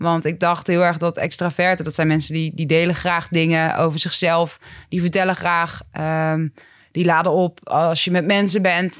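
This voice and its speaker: The recording is very clean, with a silent background. A woman speaks at a fairly low pitch and a moderate pace with fairly even intonation. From Netherlands, Groningen province. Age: 20s. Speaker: rapper and psychologist. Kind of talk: casual interview. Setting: office.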